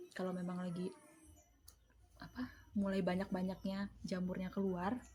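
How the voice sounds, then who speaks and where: The speech comes at a moderate pace with monotone, flat intonation. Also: woman, medium pitch for a woman. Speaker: vlogger and home mushroom grower. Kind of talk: casual vlog explanation. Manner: casual, chatty.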